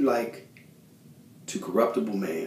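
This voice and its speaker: Speaking at a moderate pace, a man with a dark, mellow tone makes very wide pitch swings, and audible room echo surrounds him. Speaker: lay preacher. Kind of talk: sermon. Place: bathroom. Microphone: phone near.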